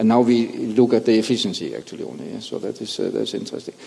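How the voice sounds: Fast and with lively intonation, a man speaks in a fairly low pitch with a dark, mellow tone and vocal fry.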